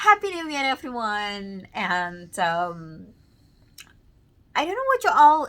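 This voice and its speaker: A loud voice with a bright, sharp tone. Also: woman. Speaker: vlogger. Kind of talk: casual vlog monologue. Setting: at home, child sleeping nearby. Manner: halting, many fillers.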